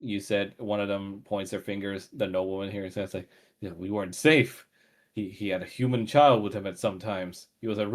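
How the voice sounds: In a natural reading voice, the speaker keeps a fairly even intonation over a quiet background.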